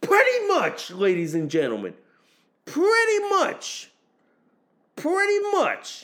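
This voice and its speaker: A man talks at a very slow pace, with long, frequent pauses. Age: 40s. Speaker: podcast host. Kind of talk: casual political commentary monologue. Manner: repetitive, halting with restarts.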